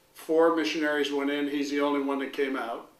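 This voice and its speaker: A man with a fairly high voice is heard with audible room echo. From Hong Kong. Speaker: retired school principal. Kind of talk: interview.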